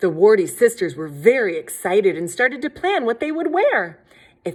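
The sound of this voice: The reading voice is unforced.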